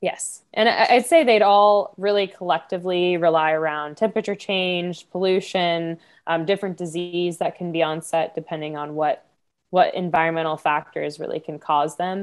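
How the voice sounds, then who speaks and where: In a normal speaking voice, a woman with an American accent talks at a fairly low pitch with fairly even intonation. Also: moderate pace, quiet background. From Florida. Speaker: marine biologist. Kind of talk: casual interview.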